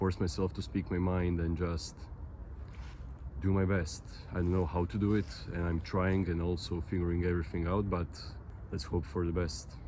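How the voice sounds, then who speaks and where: Very deep and low in pitch, a man's dark, mellow, somewhat breathy voice moves at a moderate pace with fairly even intonation and long, frequent pauses. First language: Croatian. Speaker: vlogger. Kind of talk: casual vlog monologue. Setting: outdoors, walking in a park. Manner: halting.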